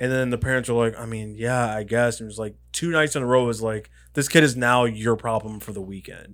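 A man with a normal speaking voice talks at a fairly quick pace and medium pitch, with hardly any pauses. His intonation stays fairly even while his loudness swings widely. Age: 30s. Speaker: podcast co-host. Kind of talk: casual chat.

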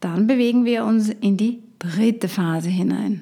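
Speaking very slowly in an Austrian accent, a woman has a dark, mellow tone and ordinary pitch variation. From Austria, Upper Austria. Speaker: health coach. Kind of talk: solo podcast talk.

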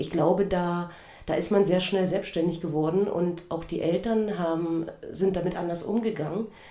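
Fairly even intonation with audible room echo. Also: woman, fairly low pitch for a woman, moderate pace. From eastern Germany, Cottbus. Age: 50s. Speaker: podcast host, former gymnast and karate instructor. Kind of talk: personal storytelling monologue.

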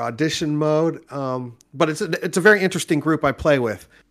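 The speaker is a man with an American accent. He talks at a fairly high pitch. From Southern California, Orange County. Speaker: game master and comedy show host. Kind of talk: casual interview chat.

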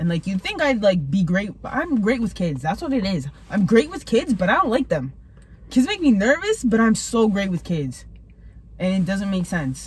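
Against noticeable background noise, a woman at medium pitch speaks at a moderate pace, her pitch swinging very widely. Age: 20s. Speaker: host's best friend. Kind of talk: casual chat.

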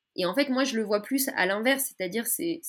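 A woman with an unremarkable speaking voice uses a fairly high pitch and lively intonation. The recording is very clean, with a silent background. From France, Paris. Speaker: political activist. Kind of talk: interview. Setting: podcast recording.

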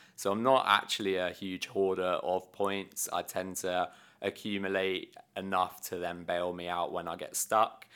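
A man with a British accent speaks in a very deep, low pitch with a bright, sharp tone. His intonation is monotone and flat, with hardly any pauses. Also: fairly slow pace. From UK. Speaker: airline travel software sales and account manager. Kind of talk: casual interview. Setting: company office.

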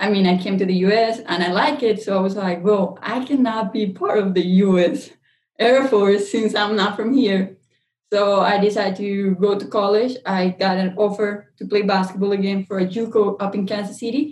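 Somewhat breathy speech in a Spanish accent moves at a moderate pace with fairly even intonation. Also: woman, medium pitch for a woman. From Colombia. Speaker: chemical engineer and CEO. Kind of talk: interview.

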